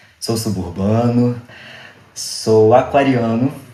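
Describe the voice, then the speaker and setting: This man's voice sits at a medium pitch with a dark, mellow tone. He speaks at a very slow pace. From Rio de Janeiro suburbs, Brazil. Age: 20s. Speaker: actor. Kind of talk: interview.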